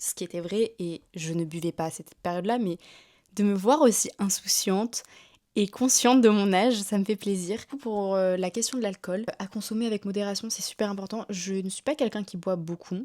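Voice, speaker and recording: A woman speaks at a moderate pace with a medium pitch and ordinary pitch variation. Her tone is dark and mellow, in a very clean recording with a silent background. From northern France, Lille. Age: 20s. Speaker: YouTuber. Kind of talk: casual vlog chat.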